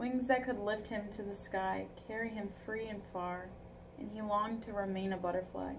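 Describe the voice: The reading aloud is plain, with fairly even intonation.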